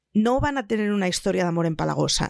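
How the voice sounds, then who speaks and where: A woman's fairly high, lively voice at a fairly quick pace, dry and close with no echo, in a very clean recording over a silent background. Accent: Spanish. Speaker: podcast panelist. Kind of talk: casual chat.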